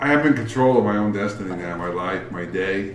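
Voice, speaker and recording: With an American accent, a man speaks fairly quickly at a fairly low pitch, with audible room echo and noticeable background noise. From New York, Queens. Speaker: brewery owner. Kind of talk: casual chat.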